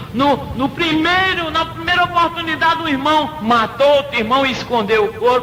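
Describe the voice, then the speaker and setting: Over noticeable background noise and audible room echo, a man uses a raised, projected voice at an extremely high pitch, with lively intonation, very even loudness, a moderate pace and hardly any pauses. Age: 60s. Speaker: preacher and singer. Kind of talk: sermon. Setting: radio program.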